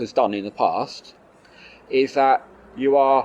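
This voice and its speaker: A man's voice, pitched fairly high. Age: young. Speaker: vegan advocate interviewer. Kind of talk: casual interview.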